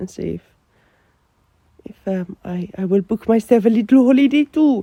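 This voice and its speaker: A woman speaks at a medium pitch with lively intonation and a dark, mellow tone, recorded with a dry, close sound and no echo. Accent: Finnish. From Finland. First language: Finnish. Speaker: podcaster. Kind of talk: personal morning journal monologue. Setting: in bed, just woken. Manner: rambling with many fillers and restarts.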